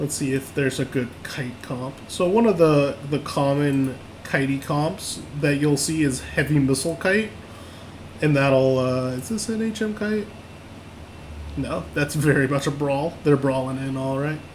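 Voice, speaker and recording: Noticeable background noise and audible room echo surround a man talking at a fairly slow pace. His pitch is fairly high, with ordinary variation. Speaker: online game class instructor. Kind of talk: lecture. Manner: halting, many fillers and repeats.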